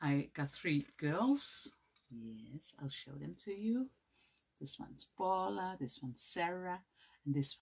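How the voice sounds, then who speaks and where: A woman with a Dutch accent speaks at a fairly slow pace in a very deep, low voice that is somewhat breathy, her intonation lively. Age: 40s. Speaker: knitting vlogger. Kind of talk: casual vlog. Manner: halting, many fillers.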